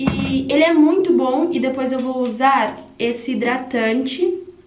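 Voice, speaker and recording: A woman speaks at a high pitch. The room echo is audible, with light background noise underneath. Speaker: vlogger. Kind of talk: casual vlog chat. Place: bathroom. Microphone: phone near.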